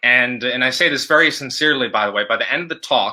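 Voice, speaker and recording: In a very clean recording with a silent background, a man talks in a bright, sharp tone. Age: 30s. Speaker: mental health speaker and writer. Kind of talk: interview testimony. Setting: live video show. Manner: halting, frequent repetitions and fillers.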